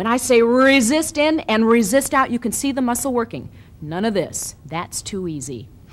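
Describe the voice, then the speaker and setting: A woman speaks at a fairly slow pace. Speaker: fitness video host. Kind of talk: tutorial. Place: studio.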